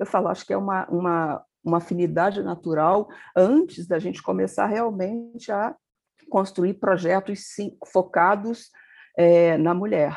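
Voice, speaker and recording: A woman's medium-pitched, fairly slow delivery with ordinary pitch variation, an ordinary speaking voice, and a quiet background. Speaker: magazine editor-in-chief, journalist. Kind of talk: interview conversation.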